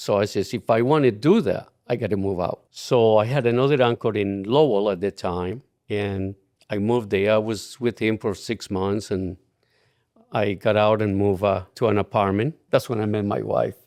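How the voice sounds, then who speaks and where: A man with a Colombian accent and a fairly low pitch, against a quiet background. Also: ordinary pitch variation, moderate pace. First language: Spanish. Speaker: retired client. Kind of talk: casual interview.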